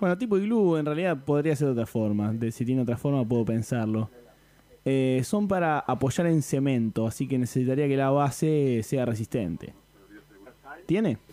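A man speaks at a moderate pace in a dark, mellow tone with lively intonation. His loudness stays very even. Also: medium pitch for a man. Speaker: podcast host, prank caller. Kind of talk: prank phone call.

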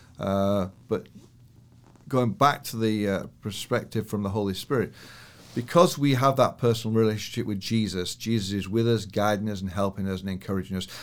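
Speaking with a northern English accent, a man uses a fairly low pitch and ordinary pitch variation at a fairly quick pace. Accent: British, northern English. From northern England, Yorkshire Dales. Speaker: church elder and businessman. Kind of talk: interview chat, with prayer.

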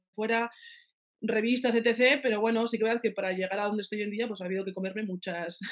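A woman's plain, everyday voice at medium pitch, fairly quick, with fairly even intonation. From Navarre, Spain (Pamplona). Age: 30s. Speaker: pastry chef. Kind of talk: interview.

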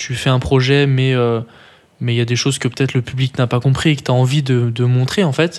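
Speaking at a fairly quick pace, a man uses a normal speaking voice of medium pitch with fairly even intonation. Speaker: podcast co-host. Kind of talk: casual chat.

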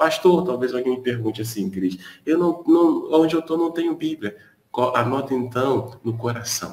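A man speaks at medium pitch and a moderate pace. His intonation is lively, in a plain, everyday voice. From Brazil, Niterói (Rio de Janeiro). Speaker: pastor, live prayer host. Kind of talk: live-stream devotional chat. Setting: live stream from his balcony.

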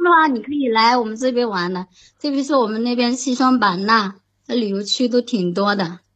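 A woman speaks with an unremarkable speaking voice at a fairly high pitch. Her pace is moderate and her pitch variation ordinary. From Shandong, Jinan (born Xishuangbanna). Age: 20s. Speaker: caller. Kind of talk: casual chat. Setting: online voice call. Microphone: laggy connection.

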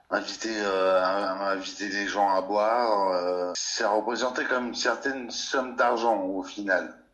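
A man speaks at a very slow pace and a fairly low pitch, with fairly even intonation. Noticeable background noise and audible room echo surround him. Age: 40s. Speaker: cultural sector worker. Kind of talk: testimony. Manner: halting.

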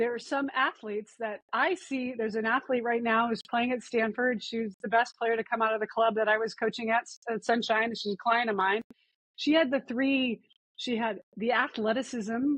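In an ordinary speaking voice, a woman with an American accent and a fairly high pitch talks at a moderate pace with fairly even intonation, in a dry, close sound with no echo. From Montana. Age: 50s. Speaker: sports parenting coach. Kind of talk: interview.

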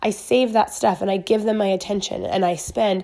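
Her pitch is medium for a woman, and this woman's voice rises and falls with ordinary pitch variation. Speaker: social media business coach. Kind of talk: motivational talk.

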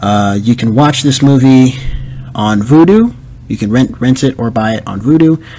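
A man speaks at medium pitch and a moderate pace. He has an unremarkable speaking voice with ordinary pitch variation. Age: 20s. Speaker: podcast host. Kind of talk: solo movie review podcast. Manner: casual, filler-heavy.

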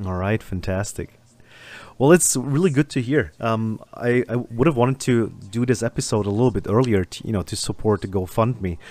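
The recording is very clean, with a silent background. A man talks at a moderate pace and medium pitch with ordinary pitch variation. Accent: German. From Germany. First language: German. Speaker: podcast host. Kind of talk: casual interview chat.

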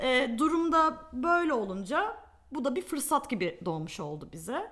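Over music in the background, a woman speaks very slowly in a high voice with very wide pitch swings. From Turkey. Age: 20s. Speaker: media planner. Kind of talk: casual interview chat.

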